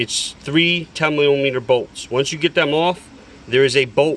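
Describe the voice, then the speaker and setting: In an ordinary speaking voice, a man talks at a moderate pace in a fairly high pitch with fairly even intonation. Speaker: DIY auto repair video maker. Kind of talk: tutorial.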